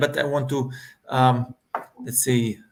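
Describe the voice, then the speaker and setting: This man has an Italian accent. His voice sits at a medium pitch. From Italy. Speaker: hospitality manager and aspiring online entrepreneur. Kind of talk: casual panel discussion.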